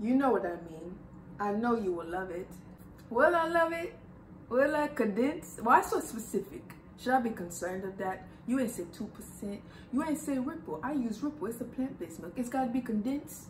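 The voice moves at a moderate pace with very wide pitch swings. Light background noise and audible room echo are present. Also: woman, fairly high pitch for a woman. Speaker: YouTuber. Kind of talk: casual vlog, reading messages aloud. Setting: at home, AC running. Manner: animated. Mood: sassy, amused. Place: home room. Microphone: camera far.

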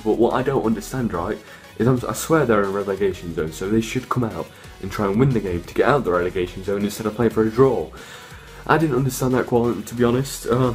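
Very fast speech with ordinary pitch variation over faint music in the background. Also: man. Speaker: football fan vlogger. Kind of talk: casual vlog chat. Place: home room. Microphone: phone near.

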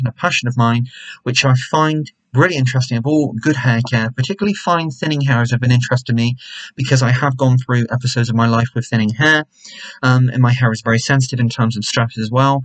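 Against a quiet background, a man talks at a very fast pace in a somewhat breathy voice with fairly even intonation. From England. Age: 20s. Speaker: YouTuber, hair care reviewer. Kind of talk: product review vlog. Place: home room. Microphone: webcam.

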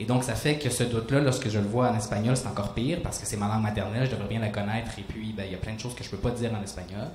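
With audible room echo, the speech runs at a very fast pace with few pauses and ordinary pitch variation. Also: man, fairly low pitch for a man.

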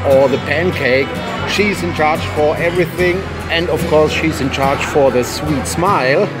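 A man talks with ordinary pitch variation. Clear music sounds in the background. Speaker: travel vlogger. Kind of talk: casual vlog chat. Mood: cheerful, enthusiastic. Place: cafe. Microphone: phone near.

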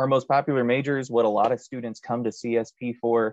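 This man speaks at a fairly quick pace with a medium pitch, recorded dry with no echo against a quiet background. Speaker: college admissions representative. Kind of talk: informational presentation. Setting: video call. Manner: joking, upbeat. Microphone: video call.

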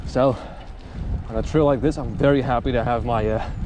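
Over noticeable background noise, a man speaks at a moderate pace with ordinary pitch variation. The sound is dry with no echo. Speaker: mountain biker vlogger. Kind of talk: casual vlog chat. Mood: cheerful, joking. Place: bicycle. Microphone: helmet.

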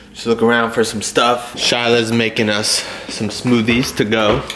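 Over faint background noise, a man talks at a medium pitch and a fairly slow pace. His tone is fairly bright, with little pitch movement.

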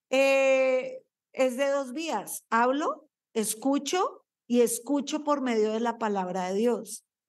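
A woman speaks very slowly in a high voice with a slight Colombian accent and ordinary pitch variation. The background is quiet. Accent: slight Colombian lilt. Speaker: pastor. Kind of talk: sermon. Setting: church. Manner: animated. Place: church. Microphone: handheld.

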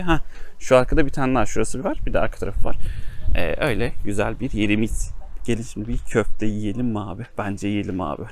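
A man speaks fairly quickly, his pitch varying in an ordinary way.

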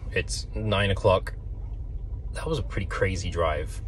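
A man in a dry recording with no echo and light background noise. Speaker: travel vlogger. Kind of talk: casual vlog chat. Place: car. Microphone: phone near.

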